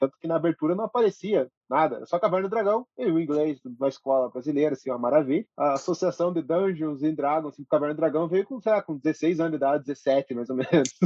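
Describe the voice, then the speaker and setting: A man's plain, everyday voice, fairly high in pitch, at a fairly quick pace with ordinary pitch variation. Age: 30s. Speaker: podcast guest, film enthusiast. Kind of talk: casual chat.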